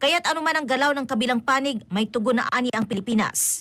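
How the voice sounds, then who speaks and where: The speech comes at a very fast pace in a bright, sharp tone, with ordinary pitch variation. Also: woman. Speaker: news reporter. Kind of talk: news report.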